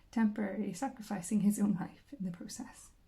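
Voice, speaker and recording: A soft-spoken woman with a Northern Irish accent talks at a fairly quick pace in a medium pitch. Her tone is dark and mellow, with vocal fry. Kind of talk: audiobook reading, relaxing.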